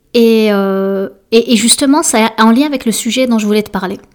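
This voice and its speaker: With a French accent, a woman speaks fairly slowly and with ordinary pitch variation. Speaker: podcast host and life coach. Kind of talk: solo casual monologue. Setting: alone in home office. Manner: halting, many fillers.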